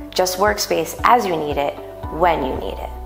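At a moderate pace the speech goes on, with clear music in the background. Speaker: voice-over artist. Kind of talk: commercial promo read. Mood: warm, upbeat, persuasive.

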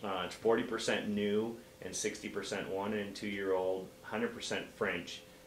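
In an American accent, a man speaks at a very slow pace with a fairly low pitch and monotone, flat intonation, with audible room echo and light background noise. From Oregon coast (Bandon); Oregon. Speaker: guest. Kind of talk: interview. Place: shop.

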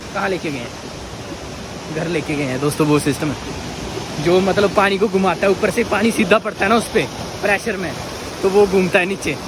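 A man's high-pitched voice, dry with no echo, against noticeable background noise. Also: ordinary pitch variation, moderate pace. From Jammu and Kashmir. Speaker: village vlogger. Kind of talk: casual vlog talk to camera. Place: open country. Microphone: phone near.

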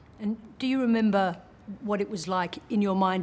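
The speaker is a woman with an Australian accent. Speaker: TV journalist. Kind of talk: interview. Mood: warm, thoughtful, engaged. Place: home room.

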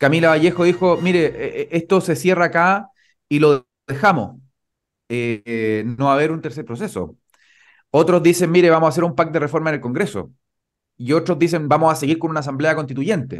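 A man with a Chilean accent speaks in a fairly high pitch over a quiet background. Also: ordinary pitch variation, fairly quick pace. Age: 30s. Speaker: lawyer and party spokesperson; lawyer, party spokesperson. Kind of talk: political interview. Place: home room. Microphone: studio mic.

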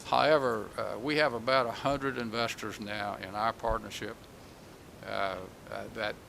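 Speaking at a moderate pace with a North Carolina accent, a man uses a fairly low pitch and fairly even intonation, with audible room echo. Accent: North Carolina Southern. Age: 70s. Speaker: economic development executive. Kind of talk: public meeting presentation. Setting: public meeting hall. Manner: halting, frequent repetitions.

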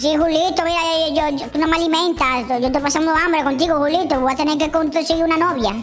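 A put-on character voice rattles along at a fairly quick pace with hardly any pauses. Clear background noise can be heard. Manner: boastful, insistent, repetitive.

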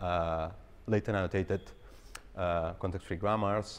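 This is a man. His pitch is very deep and low. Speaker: presenter. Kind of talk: lecture. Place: hall.

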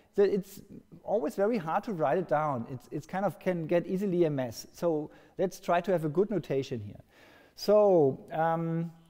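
Against a quiet background, a man with a dark, mellow tone and a high pitch talks at a moderate pace with ordinary pitch variation. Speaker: lecturer. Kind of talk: lecture. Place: hall.

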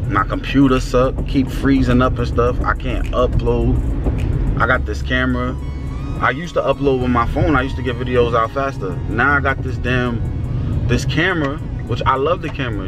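A man in a dry sound with no echo, with clear music in the background. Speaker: vlogger. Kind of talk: casual vlog rant. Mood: frustrated, annoyed. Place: car. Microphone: phone near.

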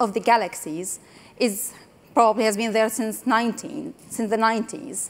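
The pace of this woman's speech is moderate. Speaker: conference speaker. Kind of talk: conference talk. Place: stage.

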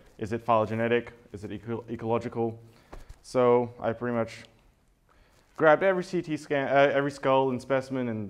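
With an Australian accent, a man speaks at a moderate pace and with fairly even intonation. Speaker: conference speaker, evolutionary biologist. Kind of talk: conference talk. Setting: stage with audience. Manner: halting, many fillers. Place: hall.

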